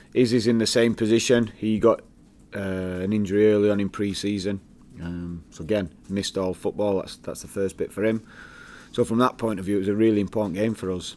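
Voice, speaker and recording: A man's fairly low voice at a fairly quick pace, with monotone, flat intonation. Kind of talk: press conference answers. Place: meeting room.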